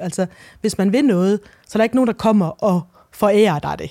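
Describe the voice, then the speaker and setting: Recorded dry and close with no echo on a very clean recording with a silent background, a woman speaks at a fairly quick pace in a medium pitch with ordinary pitch variation. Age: 40s. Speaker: novelist. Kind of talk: interview. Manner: halting.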